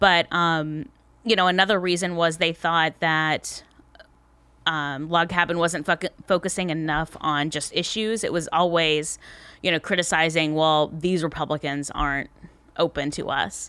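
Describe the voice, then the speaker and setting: Here a woman with an American accent talks at a moderate pace and a fairly low pitch. Her tone is bright and sharp, her intonation fairly even. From US South, Tallahassee, Florida. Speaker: political consultant and columnist. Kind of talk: casual interview chat. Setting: comedy club studio.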